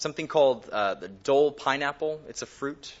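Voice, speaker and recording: In a normal speaking voice, a man talks at a medium pitch. He moves at a moderate pace with ordinary pitch variation. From California, Bakersfield. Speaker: pastor. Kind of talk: sermon.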